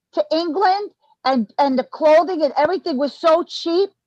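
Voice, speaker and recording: In a Brooklyn accent, a woman speaks at an extremely high pitch with lively intonation. Her pace is fairly slow, and the sound is dry and close with no echo. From New York, Brooklyn. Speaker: former musician, online commentator. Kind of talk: casual interview chat. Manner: animated.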